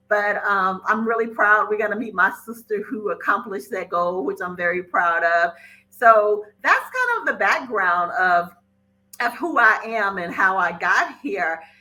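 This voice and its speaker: A woman's speech moves at a fairly slow pace. The rise and fall of her pitch is ordinary. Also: medium pitch for a woman. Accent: Mississippi. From Mississippi, US South. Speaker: podcast host and financial educator. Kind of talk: casual podcast monologue.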